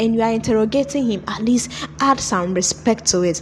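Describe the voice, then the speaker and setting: Over noticeable background noise, a woman with a fairly high pitch talks at a moderate pace in an animated tone with lively intonation. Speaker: movie reviewer. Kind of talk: video review commentary.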